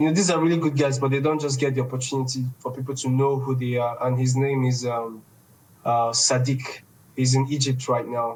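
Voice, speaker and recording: Somewhat breathy and monotone, the voice moves at a fairly quick pace with flat intonation. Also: man, medium pitch for a man. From Nigeria, Igbo east. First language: Igbo. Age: 20s. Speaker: esports organization founder. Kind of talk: podcast interview.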